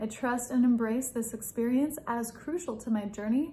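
A soft-spoken woman with a somewhat breathy, gentle tone, a fairly high pitch, fairly even intonation and a fairly slow pace. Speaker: spiritual content creator leading prayer. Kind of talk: guided prayer and meditation, fervent and devotional in the final stretch. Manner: soft-spoken, gentle and heartfelt, slow and tender, pleading. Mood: calm, soft, devotional. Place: home room. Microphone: phone near.

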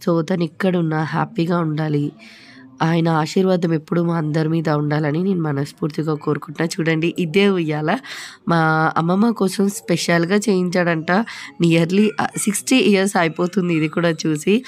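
Here a woman talks in a fairly low pitch. Her intonation stays fairly even. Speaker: family vlogger. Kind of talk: casual talk to camera. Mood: fond, remembering late grandfather. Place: home room. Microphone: phone near.

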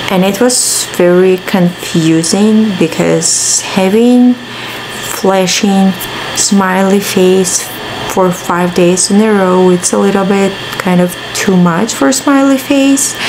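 Against noticeable background noise, a woman speaks at a very slow pace with ordinary pitch variation and very even loudness. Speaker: vlogger. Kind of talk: casual vlog chat. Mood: mildly exasperated, chatty. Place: home room. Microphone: phone near.

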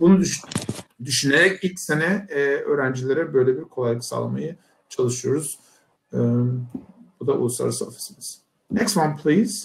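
Using lively intonation and vocal fry, a man with a fairly high pitch speaks at a moderate pace with long, frequent pauses. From Turkey. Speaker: university professor. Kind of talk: presentation. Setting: video call. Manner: hesitant, many fillers.

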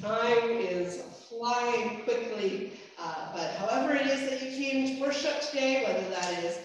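A woman with a high pitch talks at a fairly slow pace. Strong room echo fills the recording. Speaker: minister. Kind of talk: church announcements. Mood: warm, cheerful. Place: church.

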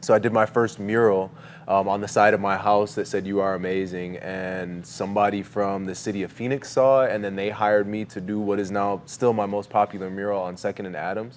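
With an American accent, a man in a normal speaking voice talks at a fairly quick pace and fairly low pitch, using fairly even intonation and hardly any pauses. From New York. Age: 40s. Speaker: mural artist. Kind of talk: casual chat. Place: studio.

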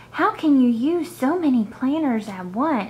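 The speech moves at a fairly slow pace with lively intonation. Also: woman. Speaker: planner hobby vlogger. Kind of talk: casual vlog chat.

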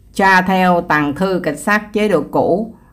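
A woman with a fairly low pitch and ordinary pitch variation at a very slow pace. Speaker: YouTube channel host narrating crime history. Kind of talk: narration of a true-crime story.

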